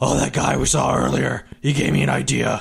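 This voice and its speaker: Putting on a character voice, a man sounds gruff and raspy, keeping a moderate pace and very even loudness. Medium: actual play.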